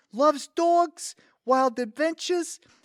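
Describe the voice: In a put-on character voice, a man speaks at an extremely high pitch with a fairly bright tone and ordinary pitch variation. The pace is slow, and the sound is dry and close with no echo.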